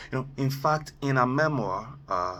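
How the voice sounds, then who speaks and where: This man has a fairly high pitch and a bright, sharp tone, and he speaks at a fairly slow pace. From Nigeria. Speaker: motivational speaker. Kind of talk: motivational talk. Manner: hesitant, many fillers.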